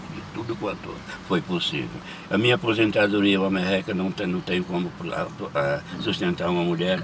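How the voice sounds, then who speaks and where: Through noticeable background noise, a man with a very deep, low pitch and ordinary pitch variation talks at a fairly quick pace broken by long, frequent pauses. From Brazil, Alagoas (northeast). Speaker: retired churchgoer telling his life story. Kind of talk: testimony in interview. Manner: halting, with restarts.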